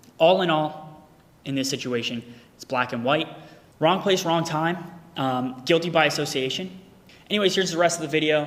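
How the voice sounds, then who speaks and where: A man with a fairly high pitch and ordinary pitch variation speaks with long, frequent pauses over noticeable background noise. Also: moderate pace. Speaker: crypto content creator. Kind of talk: personal statement video. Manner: loud; casual, profane.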